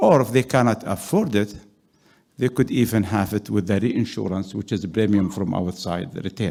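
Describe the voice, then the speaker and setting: His voice fairly low in pitch with a dark, mellow tone, a man talks at a moderate pace with ordinary pitch variation. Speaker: executive director of a development fund, audience participant. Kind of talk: audience question at a conference panel. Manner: loud; halting, many fillers.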